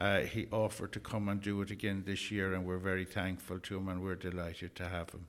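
A man with an Irish accent speaks very fast in a very deep, low voice, his intonation monotone and flat, with hardly any pauses. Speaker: community volunteer and event organiser. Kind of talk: radio interview.

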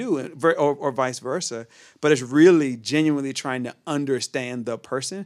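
A man talks at a fairly high pitch with ordinary pitch variation. The recording is very clean, with a silent background. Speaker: worship director and preacher. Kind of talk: casual chat. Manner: fast talker.

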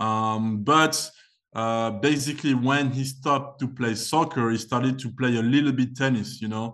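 A man's unremarkable speaking voice at medium pitch, moderate pace and fairly even intonation, over a quiet background. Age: 20s. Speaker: tennis agent and former tennis player. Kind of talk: casual interview.

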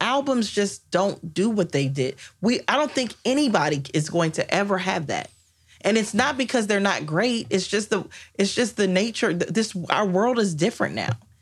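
A woman speaks at a moderate pace with lively intonation and a medium pitch. Her voice is somewhat breathy, and her loudness stays very even. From Washington, D.C. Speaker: attorney and entrepreneur. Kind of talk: casual chat.

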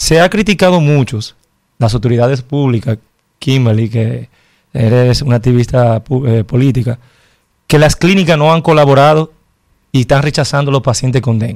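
A man with a Dominican accent speaks at a moderate pace in a medium pitch, with ordinary pitch variation, very even loudness, and long, frequent pauses. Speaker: health commentator. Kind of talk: interview.

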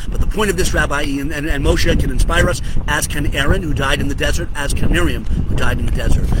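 In a room with audible echo and noticeable background noise, a man speaks at a very fast pace. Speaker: rabbi. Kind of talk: short religious teaching video. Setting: outdoors on a hotel patio. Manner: animated.

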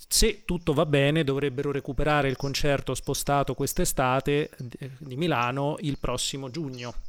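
With an ordinary speaking voice, a man at a fairly high pitch keeps fairly even intonation at a moderate pace with hardly any pauses. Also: very clean recording, silent background. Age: 30s. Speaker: radio host and concert promoter. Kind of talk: radio interview.

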